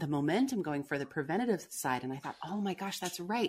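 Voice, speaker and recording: A woman's fairly low-pitched voice with lively intonation, an unremarkable speaking voice. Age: 40s. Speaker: vocal coach and former speech pathologist. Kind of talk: interview. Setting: remote call.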